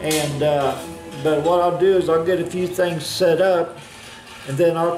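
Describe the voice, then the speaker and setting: Amid noticeable background noise and audible room echo, a man with an American accent and a high pitch speaks at a fairly slow pace in a monotone, flat intonation. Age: 60s. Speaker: hobbyist woodworker. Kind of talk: casual vlog monologue. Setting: workshop. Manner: halting, many fillers.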